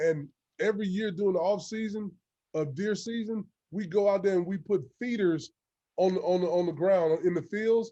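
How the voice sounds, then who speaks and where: A man's high-pitched voice with a dark, mellow tone and a Louisiana accent. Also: ordinary pitch variation, moderate pace. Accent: Southern US (Louisiana). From Louisiana, US South. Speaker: football coach. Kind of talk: coaching clinic talk.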